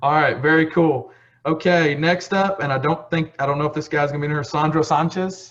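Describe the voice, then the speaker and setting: In a Texas accent, a somewhat breathy voice with a relaxed tone speaks at a moderate pace. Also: man. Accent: Texas twang. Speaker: county ambassador hosting scholarship call. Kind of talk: casual video call roll call. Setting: video call. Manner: casual, relaxed.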